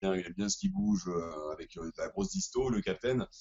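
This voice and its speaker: Speaking at a fairly quick pace, a man keeps his fairly low voice in fairly even intonation. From southwest France. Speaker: rock band musician. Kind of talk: interview. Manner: hesitant, many fillers.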